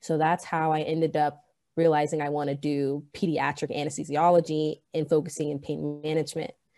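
A woman's very deep, low voice at a fairly quick pace, monotone and flat in intonation, with music in the background. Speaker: college student. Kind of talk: interview.

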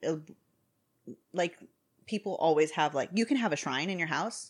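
In an animated tone, a woman with a fairly low pitch and ordinary pitch variation talks at a fairly quick pace. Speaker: podcast co-host. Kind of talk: casual chat; reading aloud.

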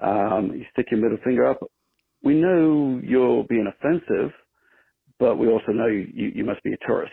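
A man with a British accent at a moderate pace. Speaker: caller. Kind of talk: voicemail message.

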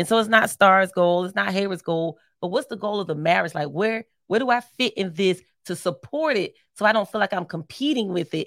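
A normal speaking voice in an American accent carries lively intonation at a fairly quick pace, recorded dry and close with no echo. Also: woman, medium pitch for a woman. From Philadelphia, US. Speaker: marriage podcast co-host. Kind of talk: casual chat.

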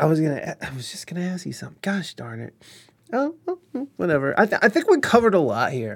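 An animated man at a very fast pace, with big swings in loudness. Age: 30s. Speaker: streamer and podcast host. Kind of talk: casual chat. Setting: online stream with chat. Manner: rambling, animated; profane.

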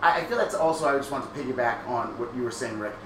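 Very fast speech with lively intonation comes through audible room echo. Noticeable background noise is present. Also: man. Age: 30s. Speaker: podcast host. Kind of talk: casual chat. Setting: livestream.

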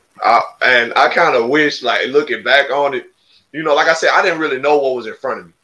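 In an Alabama accent, a man speaks with a fairly high pitch and a bright, sharp tone. His pace is fairly quick and his intonation fairly even. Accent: Southern US (Alabama). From Alabama, US South (Marengo County, Demopolis area). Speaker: podcast co-host, basketball player. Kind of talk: casual interview.

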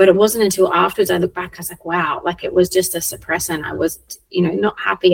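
A very fast woman's voice, fairly low-pitched, with an Australian accent and big swings in loudness. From South Australia. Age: 40s. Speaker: children's coach. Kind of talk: casual chat. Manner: animated.

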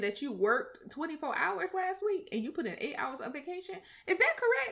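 With an American accent, a woman uses a raised, projected voice with a bright, sharp tone and very wide pitch swings. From US South. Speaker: podcast host. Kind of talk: casual chat.

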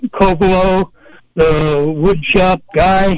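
A man talks at a very slow pace with fairly even intonation. Noticeable background noise runs underneath. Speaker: caller. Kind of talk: casual call-in question. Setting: phone call.

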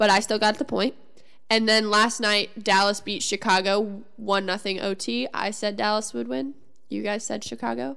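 A woman with a Midwestern American accent, medium in pitch, bright and sharp in tone, with lively intonation at a moderate pace. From US Midwest. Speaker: sports podcast co-host. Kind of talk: casual chat.

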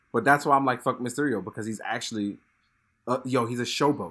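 Ordinary pitch variation marks this man's speech, delivered with a New York accent. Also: very clean recording, silent background. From Brooklyn, New York (Fort Greene). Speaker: product photographer. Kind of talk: casual chat.

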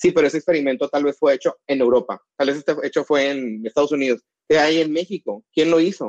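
A man talks at a very fast pace, his pitch fairly high and its variation ordinary. The sound is dry and close, with no echo. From Mexico, northern border (Mexicali, Baja California). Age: 30s. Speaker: chemical engineer and cosmetic formulator. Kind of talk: casual interview.

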